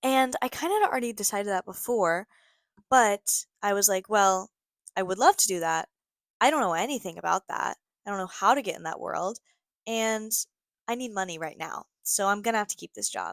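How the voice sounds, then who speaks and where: With an upbeat tone and an American accent, a woman speaks at medium pitch and a moderate pace, using ordinary pitch variation, big swings in loudness, and long, frequent pauses, all in a dry, close sound with no echo. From Ohio, USA. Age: 20s. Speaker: podcast host. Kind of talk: casual podcast talk. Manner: chatty, upbeat.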